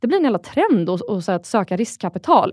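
A woman's fairly high voice with very wide pitch swings, fairly quick, dry and close with no echo, on a very clean recording with a silent background. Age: 30s. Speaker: angel investor. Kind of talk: interview.

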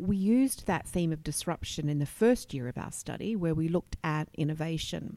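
A woman's ordinary speaking voice at a fairly low pitch and a moderate pace. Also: very clean recording, silent background. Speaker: communications executive. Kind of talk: interview. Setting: conference venue.

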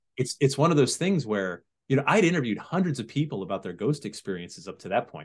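Speaking at a very fast pace, a man with an American accent and vocal fry sits at a medium pitch, with very wide pitch swings and big swings in loudness. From Connecticut (Sandy Hook). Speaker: TV writer, producer and host on paranormal legends. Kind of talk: casual interview chat.

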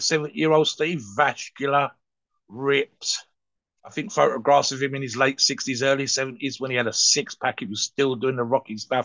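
A man with a plain, everyday voice, fairly high in pitch, at a moderate pace with ordinary pitch variation. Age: 60s. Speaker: steroid podcast co-host. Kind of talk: casual chat.

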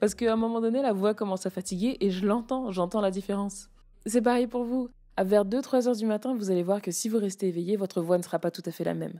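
A woman's dark, mellow voice at a medium pitch, very fast, with fairly even intonation, on a very clean recording with a silent background. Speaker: public speaking coach. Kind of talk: solo podcast tutorial.

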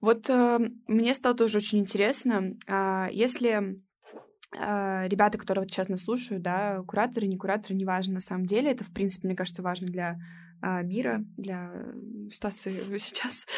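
A normal speaking voice moves at a moderate pace with fairly even intonation on a very clean recording with a silent background. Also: woman, medium pitch for a woman. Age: 20s. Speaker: student podcast host. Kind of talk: casual interview chat. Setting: recording room.

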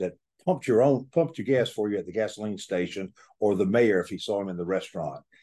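A man with a Southern US accent speaks fairly quickly against a quiet background. His fairly low voice has a dark, mellow tone and ordinary pitch variation. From Georgia, US South. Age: 70s. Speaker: author and staffing recruiter. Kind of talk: casual interview conversation.

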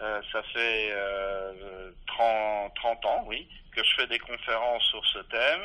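This man has a medium-pitched voice. He talks at a very slow pace. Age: 60s. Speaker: physicist and philosopher, author. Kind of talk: interview. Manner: halting, many repetitions.

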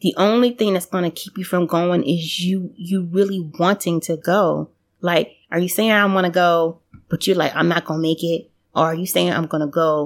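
In a normal speaking voice, a woman with an American accent talks at a moderate pace, fairly low in pitch with fairly even intonation, in a very clean recording with a silent background. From United States. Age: 40s. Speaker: podcast guest, former exchange student. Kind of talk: casual interview chat.

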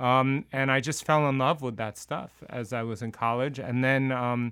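A man's medium-pitched voice comes through in a very clean recording with a silent background. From New Jersey. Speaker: history professor and musician. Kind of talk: casual chat.

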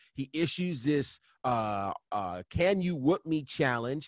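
Speaking very slowly with an American accent, a man uses a fairly high pitch and lively intonation, recorded dry and close with no echo against a quiet background. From New York State, Catskills. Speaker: wrestling podcast co-host. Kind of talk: casual chat.

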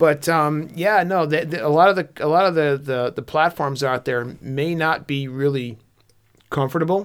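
A man with an unremarkable speaking voice talks at a fairly high pitch, using ordinary pitch variation. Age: 40s. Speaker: hunting podcast co-host. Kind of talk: casual chat. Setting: studio.

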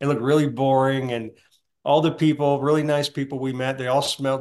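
The speaker is a man with an American accent. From US South. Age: 60s. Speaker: heart attack survivor. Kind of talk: testimony.

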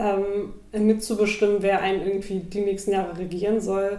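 A woman's medium-pitched, dark, mellow voice at a moderate pace, monotone and flat in intonation, with audible room echo. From Germany, Hamburg. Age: 20s. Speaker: activist. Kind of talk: interview.

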